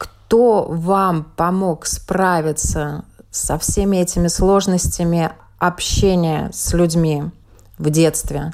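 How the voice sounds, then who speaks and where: A woman talks at a very slow pace. Her loudness is very even. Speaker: radio journalist host. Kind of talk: radio interview.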